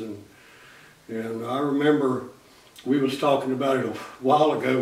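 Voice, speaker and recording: With an American accent, a man at medium pitch speaks at a moderate pace with monotone, flat intonation over noticeable background noise. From Floyd County, Virginia. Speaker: real estate agent and auctioneer, farmer. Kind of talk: interview answer, casual storytelling.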